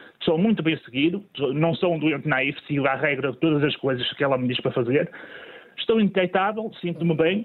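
Keeping a very even loudness, a man speaks with a fairly high pitch and ordinary pitch variation. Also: fairly quick pace. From northern Portugal (Matosinhos). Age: 40s. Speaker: person living with HIV, retired. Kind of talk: testimony. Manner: halting.

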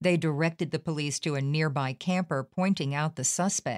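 Her voice is an unremarkable speaking voice, fairly low for a woman, at a moderate pace. The recording is very clean, with a silent background. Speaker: news podcast host. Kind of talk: news bulletin reading. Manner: formal; measured, somber newsreader delivery.

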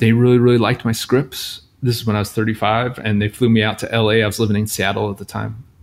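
This man speaks fairly quickly with medium pitch and fairly even intonation. He has an unremarkable speaking voice. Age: 40s. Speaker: screenwriter and poet. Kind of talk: interview conversation.

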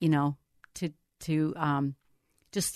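The background is quiet. A woman's voice comes through dry and close, with no echo. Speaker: board member and ministry supporter interviewing the host. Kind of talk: casual interview chat.

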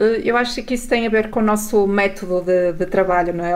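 A woman's normal speaking voice, medium-pitched, fairly quick, with fairly even intonation. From northern Portugal, Mesão Frio. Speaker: journalist. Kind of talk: radio interview.

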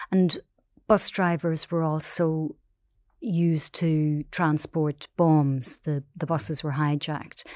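In a Northern Irish accent, a woman speaks very slowly at a very deep, low pitch with fairly even intonation. The sound is dry and close with no echo, in a very clean recording with a silent background. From Northern Ireland, Omagh. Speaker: newspaper columnist. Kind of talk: interview.

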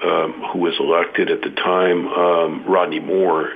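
A man with a Californian accent, plus audible room echo and noticeable background noise. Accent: General American (Californian). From US West Coast, San Jose, California. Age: 60s. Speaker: county politician. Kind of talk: radio interview.

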